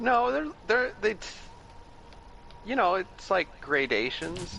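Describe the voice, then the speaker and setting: Against noticeable background noise, a man with an American accent projects a raised, high voice very slowly, with very wide pitch swings. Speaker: gaming stream co-player. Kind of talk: casual chat.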